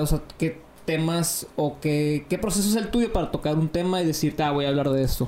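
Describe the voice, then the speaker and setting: Noticeable background noise sits behind a man talking at a moderate pace. His pitch is fairly high, with ordinary pitch variation. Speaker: podcast co-host. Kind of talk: casual chat.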